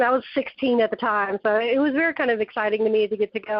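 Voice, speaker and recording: Talking at a very fast pace, a woman with a Southern accent has a fairly high pitch. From Texas, then South Carolina from about age ten. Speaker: author. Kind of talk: casual interview chat.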